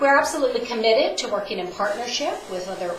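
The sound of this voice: This is a woman's voice. The room gives off audible echo.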